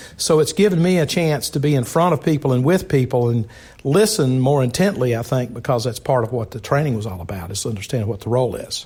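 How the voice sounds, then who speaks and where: A man talks very fast with a Southern US accent at a medium pitch. His intonation is lively and his voice somewhat breathy. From South Carolina. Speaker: fraternal organization leader. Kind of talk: interview.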